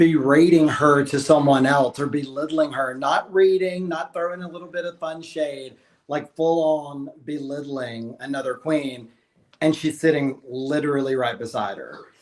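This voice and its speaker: In an American accent, a man with fairly high pitch speaks at a moderate pace, with fairly even intonation and big swings in loudness. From Alabama. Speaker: drag queen. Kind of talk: casual chat.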